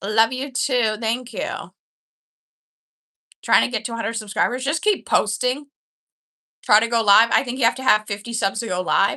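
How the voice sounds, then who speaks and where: A woman's fairly high voice with an American accent, at a moderate pace, bright and sharp in tone, broken by long, frequent pauses. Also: ordinary pitch variation. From Canada. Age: 20s. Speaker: livestreamer. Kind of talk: casual chat. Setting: live stream. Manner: animated.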